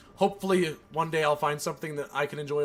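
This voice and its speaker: Here a man talks at a very fast pace. His pitch is fairly high, and he has an American accent. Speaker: gaming streamer. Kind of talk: casual live stream chat. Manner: halting, stuttering.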